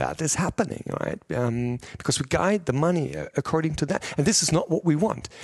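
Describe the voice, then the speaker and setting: A fairly high-pitched man at a moderate pace, lively in intonation, in a dry, close sound with no echo. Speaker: pharma executive. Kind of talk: interview. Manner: passionate, energetic.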